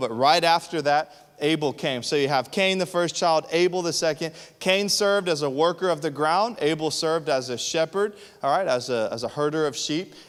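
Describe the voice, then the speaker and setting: An ordinary speaking voice from a man, fairly high in pitch, with ordinary pitch variation and a fairly quick pace. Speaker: pastor. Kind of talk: sermon.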